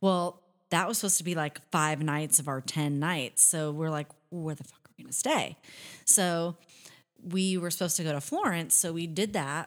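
Fairly low-pitched, a woman talks at a moderate pace in a plain, everyday voice with fairly even intonation and big swings in loudness, over a very clean recording with a silent background. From US Pacific Northwest, near Seattle. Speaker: country singer. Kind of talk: casual chat.

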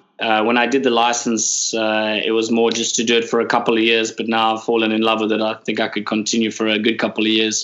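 A man rattles along at a very fast pace with hardly any pauses, in a monotone, flat intonation. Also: medium pitch for a man. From South Africa, Cape Town. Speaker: boat skipper. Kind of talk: casual chat.

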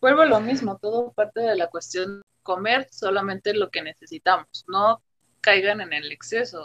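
A woman with an ordinary speaking voice and medium pitch talks at a moderate pace with lively intonation, sounding dry and close with no echo. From Mexico, Temixco, Morelos. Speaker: nutrition student. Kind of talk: casual chat.

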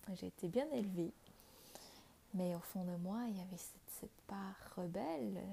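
Somewhat breathy, a woman talks at a fairly slow pace with long, frequent pauses. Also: medium pitch for a woman, ordinary pitch variation. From Vietnam. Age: 20s. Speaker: spiritual podcast host. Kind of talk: personal testimony. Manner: hesitant, with frequent fillers.

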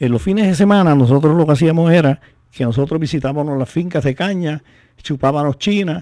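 Dark, mellow tone from a man with fairly high pitch, ordinary pitch variation and a fairly quick pace, over a quiet background. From Puerto Rico, San Sebastián. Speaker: poet and author of décimas. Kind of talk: radio interview. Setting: radio studio.

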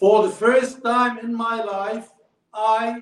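An extremely high-pitched man at a very slow pace, with fairly even intonation. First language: Arabic. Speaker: former diplomat. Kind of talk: speech. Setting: stage with audience.

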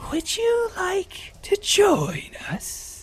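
A put-on character voice at an extremely high pitch, over light background noise. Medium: actual play. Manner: fussy, oddly polite.

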